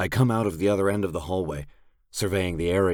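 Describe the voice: Here is plain reading aloud. The intonation stays fairly even.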